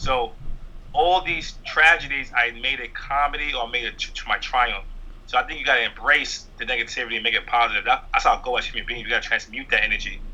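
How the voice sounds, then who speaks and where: A man speaks very fast with a New York accent. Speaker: stand-up comedian. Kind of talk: interview.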